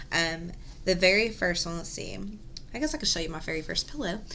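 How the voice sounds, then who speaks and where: A soft-spoken woman has a bright, sharp tone. Room echo is audible around her. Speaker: cross-stitch video host. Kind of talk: casual show-and-tell vlog. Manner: soft-spoken, quiet; hesitant, many ums.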